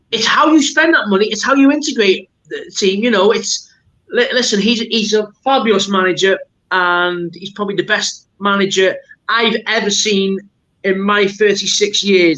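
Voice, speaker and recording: A man with a North Welsh accent speaks in a raised, projected voice at a high pitch with ordinary pitch variation. His tone is bright, sharp and enthusiastic. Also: moderate pace. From Wrexham, Wales. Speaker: football supporter. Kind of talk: podcast interview answer.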